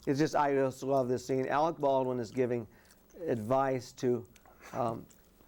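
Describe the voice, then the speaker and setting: An American accent marks this man's medium-pitched voice, delivered at a moderate pace with fairly even intonation. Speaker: film discussion panelist. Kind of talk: casual chat. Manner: halting, many false starts.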